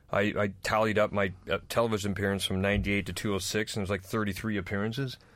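In a very clean recording with a silent background, a man with a Northwest US accent talks very fast at a fairly low pitch, in a monotone, flat delivery. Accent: American (Northwest US). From North Idaho, US. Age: middle-aged. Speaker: comedian. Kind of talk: casual chat.

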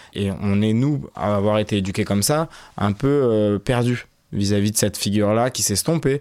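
In a very clean recording with a silent background, a man with a plain, everyday voice speaks at a moderate pace, fairly low in pitch, with ordinary pitch variation and very even loudness. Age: 30s. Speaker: radio documentary reporter. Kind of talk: interview.

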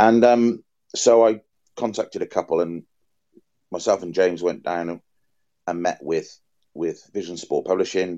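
With a Welsh accent, a man whose pitch is very deep and low speaks in a dark, mellow tone with ordinary pitch variation at a moderate pace, leaving long, frequent pauses in a dry, close sound with no echo. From Wales. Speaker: football shirt collector and curator. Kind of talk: interview conversation.

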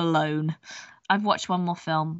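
A woman with an English accent. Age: 20s. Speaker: podcast co-host. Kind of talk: casual chat.

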